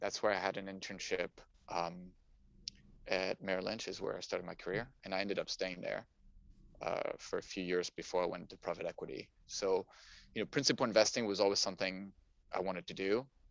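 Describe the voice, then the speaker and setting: A man with a French accent talks at a fairly quick pace, broken by long, frequent pauses. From France, Paris. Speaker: climate technology investor. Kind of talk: interview, casual chat. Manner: halting, many fillers.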